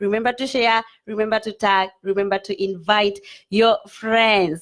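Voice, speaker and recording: A woman speaks with a Kenyan accent. Her pace is moderate. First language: Kikuyu. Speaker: online show host. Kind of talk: live stream talk show.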